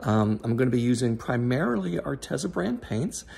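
There is a somewhat breathy quality to this man's speech. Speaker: fluid art hobbyist vlogger. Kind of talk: casual vlog chat. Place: home room. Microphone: phone near.

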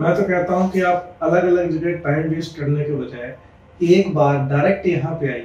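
Fairly slow, fairly even speech from a high-pitched man, with audible room echo. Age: 30s. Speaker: patient. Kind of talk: testimonial. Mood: grateful, earnest. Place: office.

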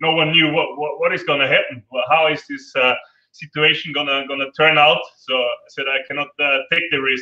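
In an Austrian accent, a man speaks at a moderate pace with a fairly high pitch and fairly even intonation, with audible room echo over a quiet background. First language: German. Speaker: adventure tour operator; panelist. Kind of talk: online panel interview. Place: home room. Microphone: video call.

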